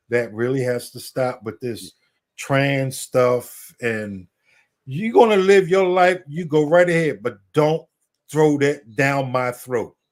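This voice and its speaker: At a fairly slow pace, a man speaks in a medium pitch with lively intonation on a very clean recording with a silent background. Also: big swings in loudness. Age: 60s. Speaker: military veteran, regular caller. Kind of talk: casual chat.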